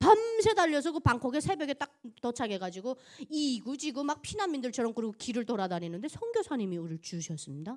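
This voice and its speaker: Animated in tone, a woman speaks fairly quickly at a high pitch, with very wide pitch swings and big swings in loudness. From North Korea, Pyongan province. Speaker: North Korean defector giving testimony, broadcaster. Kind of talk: church testimony. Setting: church service with congregation.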